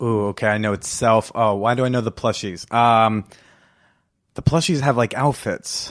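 On a very clean recording with a silent background, a man talks at a moderate pace. He has an unremarkable speaking voice at medium pitch with ordinary pitch variation. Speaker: comedian and podcast host. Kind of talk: casual chat. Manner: laid-back, jokey.

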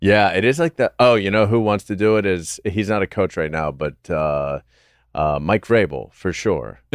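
A man with an ordinary speaking voice talks at a moderate pace in a fairly low pitch, with lively intonation. The recording is very clean with a silent background and a dry, close sound with no echo. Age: 40s. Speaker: comedian and Steelers fan guest. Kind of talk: casual chat.

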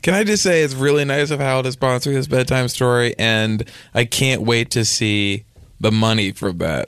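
Using an ordinary speaking voice, a man speaks at medium pitch and a moderate pace, with lively intonation and very even loudness. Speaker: comedy podcast host. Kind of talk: comedic improv chat.

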